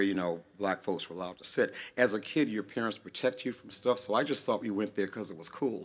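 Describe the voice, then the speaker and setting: The voice is a plain, everyday voice: a man with an American accent, fairly low in pitch, speaking at a fairly quick pace. The recording is very clean, the background silent. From US South, North Carolina. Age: 60s. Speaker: singer-songwriter. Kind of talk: song introduction to audience.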